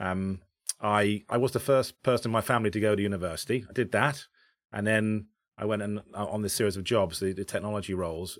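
On a very clean recording with a silent background, a man talks at a very fast pace in a fairly low pitch. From Bracknell, south-east England. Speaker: tech company CEO. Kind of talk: casual interview chat.

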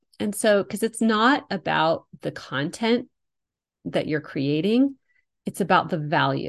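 Using vocal fry, a woman speaks at a medium pitch and a fairly slow pace, her pitch swinging very widely. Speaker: podcast host and business coach. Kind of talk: solo podcast monologue. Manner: casual, chatty with laughter.

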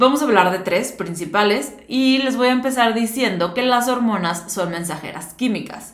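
A woman with a plain, everyday voice, fairly high in pitch, at a moderate pace with hardly any pauses and lively intonation. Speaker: nutritionist podcast host. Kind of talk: solo educational talk.

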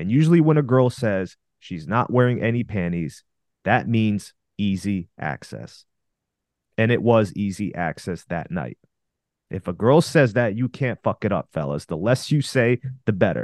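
A man with a fairly low voice speaks at a moderate pace, his pitch swinging very widely, in a dry, close recording with no echo and a quiet background. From Russia. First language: Russian. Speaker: dating coach podcaster. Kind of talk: casual podcast advice.

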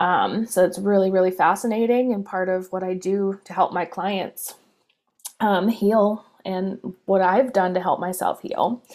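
With an American accent and an ordinary speaking voice, a woman talks at a fairly slow pace in a medium pitch with ordinary pitch variation. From US Northeast. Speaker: spiritual coach. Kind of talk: personal story monologue.

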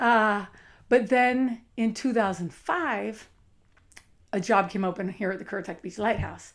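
With an animated tone, the speaker goes at a fairly slow pace, broken by long, frequent pauses. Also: woman, medium pitch for a woman, ordinary pitch variation. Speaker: lighthouse site manager. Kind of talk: casual chat.

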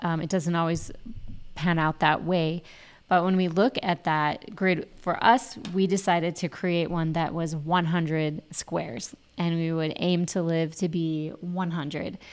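On a very clean recording with a silent background, a woman with a normal speaking voice talks at a fairly slow pace, her fairly low pitch held in fairly even intonation. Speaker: podcast co-host. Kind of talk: casual chat.

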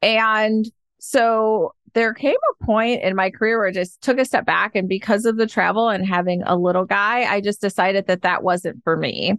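A woman's normal speaking voice, fairly high in pitch with fairly even intonation and very even loudness, at a moderate pace with hardly any pauses, dry and close with no echo over a quiet background. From US Midwest, Detroit, Michigan. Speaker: happiness coach. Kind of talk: podcast interview.

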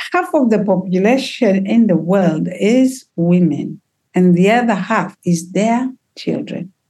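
A woman's medium-pitched, somewhat breathy voice has a dark, mellow tone and lively intonation. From Tanzania, Kilimanjaro region. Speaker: healer and trauma therapist. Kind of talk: casual chat, community conversation. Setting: video call. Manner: animated, lively.

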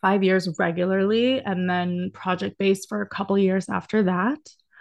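Against a quiet background, a woman with an American accent talks at a medium pitch and a fairly slow pace. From Texas (Dallas). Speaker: dance educator and talent manager. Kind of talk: casual interview chat.

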